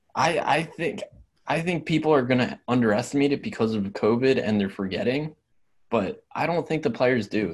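A man talks in an ordinary speaking voice at a medium pitch. His pace is moderate and his intonation is lively. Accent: American. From Pennsylvania, Philadelphia area. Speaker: sports podcast co-host. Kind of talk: casual chat.

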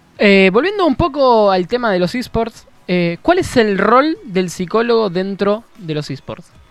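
The speaker goes at a fairly slow pace against noticeable background noise. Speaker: podcast host. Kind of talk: casual chat.

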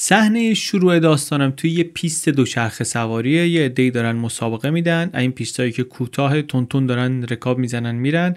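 On a very clean recording with a silent background, a man uses an ordinary speaking voice, fairly high in pitch, with lively intonation. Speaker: podcast host and narrator. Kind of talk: storytelling narration. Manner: casual, conversational.

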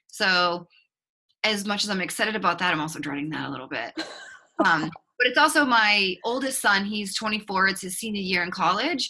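With a slight Boston accent, a woman speaks with lively intonation. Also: medium pitch for a woman, moderate pace. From Boston, Massachusetts. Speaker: author and relationship coach. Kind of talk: interview. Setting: video call.

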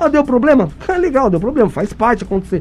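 Very wide pitch swings come at a very fast pace against noticeable background noise. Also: man. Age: 40s. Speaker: city council candidate. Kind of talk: radio interview.

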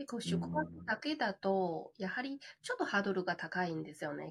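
A woman with a Chinese accent talks at a moderate pace. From China. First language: Chinese (speaking Japanese). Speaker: glamping business owner. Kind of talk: interview.

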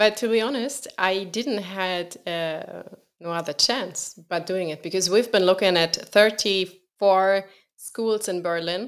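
Recorded very cleanly against a silent background, a woman with an unremarkable speaking voice talks at a fairly slow pace, her medium pitch moving with ordinary variation. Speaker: podcast host. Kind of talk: casual interview conversation.

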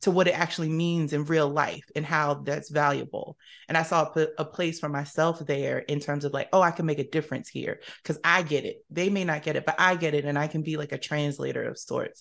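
Over a quiet background, a woman with an American accent and a very deep, low pitch speaks at a fairly quick pace in a monotone, flat intonation, with hardly any pauses. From South Jersey (Camden, New Jersey). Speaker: nonprofit executive director. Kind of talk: interview.

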